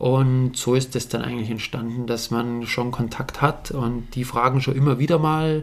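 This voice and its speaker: Against noticeable background noise, a man with a Bavarian accent speaks at a moderate pace in a monotone, flat intonation. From Bavaria, Alpine foothills (Bad Aibling area). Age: 30s. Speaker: mountain bike pro rider. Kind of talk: casual interview chat.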